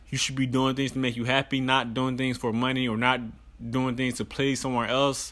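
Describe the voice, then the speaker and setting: The male voice holds a medium pitch. Its intonation stays monotone and flat. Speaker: motivational podcast host. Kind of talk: solo podcast monologue. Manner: halting, many repetitions and fillers.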